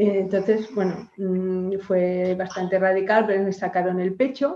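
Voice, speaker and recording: A woman speaks at a medium pitch with a dark, mellow tone. Her intonation is fairly even and her pace fairly slow. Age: 60s. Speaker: cancer patient. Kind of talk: testimony. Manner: halting.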